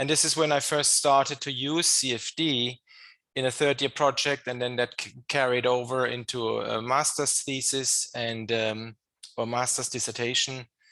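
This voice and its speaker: With a German accent and a bright, sharp tone, a man of medium pitch speaks at a moderate pace in a monotone, flat intonation against a quiet background. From Germany. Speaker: engineering professor. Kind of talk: podcast interview. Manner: hesitant, many fillers and repetitions.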